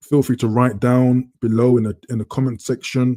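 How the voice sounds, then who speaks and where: In a London accent, a man talks at a moderate pace in a medium pitch with a dark, mellow tone. His intonation is monotone and flat, and the sound is dry and close with no echo. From London, England. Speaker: live stream host. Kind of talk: casual live stream chat. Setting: live stream. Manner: relaxed.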